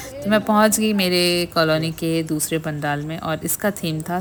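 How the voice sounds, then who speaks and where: Noticeable background noise sits behind a woman speaking with a fairly low pitch. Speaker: vlogger. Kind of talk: vlog narration.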